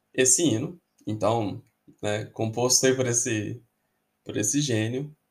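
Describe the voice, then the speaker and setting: On a very clean recording with a silent background, the voice sounds somewhat breathy. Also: man. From Belo Horizonte, Minas Gerais, Brazil. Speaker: football podcaster and historian. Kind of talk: casual podcast monologue.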